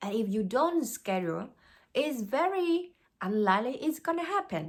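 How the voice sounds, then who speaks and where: In a very clean recording with a silent background, a woman speaks at a fairly slow pace with very wide pitch swings. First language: Vietnamese. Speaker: life coach. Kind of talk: motivational talk. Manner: halting.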